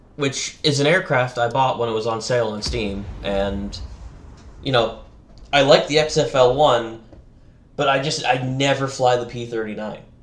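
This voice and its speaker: There is audible room echo as a man speaks in a medium pitch with an American accent. He keeps a moderate pace. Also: ordinary pitch variation. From US South. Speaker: gaming streamer. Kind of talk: casual gaming chat.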